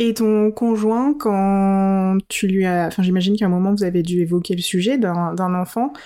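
On a very clean recording with a silent background, a woman speaks at a medium pitch in a dark, mellow tone. She goes fairly slowly with very even loudness, ordinary pitch variation and hardly any pauses. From adopted to France as an infant. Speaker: podcast host. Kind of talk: interview.

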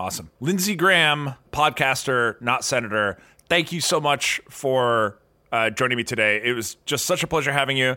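A man's bright, sharp, medium-pitched voice with an American accent and lively intonation, at a moderate pace, in a very clean recording with a silent background. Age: 30s. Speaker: podcast host. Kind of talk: casual interview conversation.

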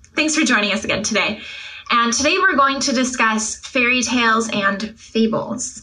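The speech has a moderate pace and ordinary pitch variation. Noticeable background noise runs underneath. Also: woman. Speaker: podcast co-host discussing literature. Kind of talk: casual intellectual conversation.

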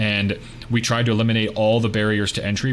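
A fairly low-pitched man with an American accent, audible room echo and noticeable background noise. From US, Pittsburgh, Pennsylvania. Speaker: tech startup founder, real estate investor. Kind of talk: podcast interview.

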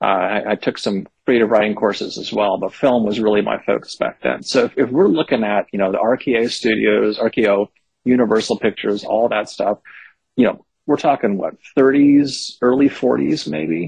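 An unremarkable speaking voice from a man with an American accent, moderate pace, and a dry, close sound with no echo. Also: medium pitch for a man, ordinary pitch variation. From Northern California (Berkeley). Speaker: horror novelist. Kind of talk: interview.

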